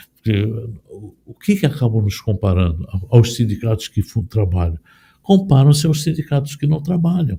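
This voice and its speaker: Dry and close with no echo, a man's somewhat breathy, dark, mellow voice moves through very wide pitch swings and big swings in loudness. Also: medium pitch for a man, moderate pace. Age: 60s. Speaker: union leader. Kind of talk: interview. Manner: halting.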